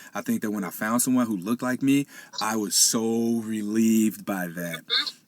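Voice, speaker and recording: Noticeable background noise behind a man speaking at a fairly low pitch. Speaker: podcast host. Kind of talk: casual podcast conversation. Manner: hesitant, with stutters and fillers.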